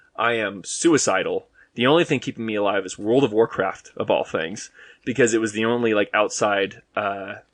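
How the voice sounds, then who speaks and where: Here a man talks at a moderate pace with a medium pitch. He has a slight Boston accent. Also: ordinary pitch variation. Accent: slight Boston accent on a couple of words. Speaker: podcast guest. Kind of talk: casual chat. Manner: hesitant, many fillers.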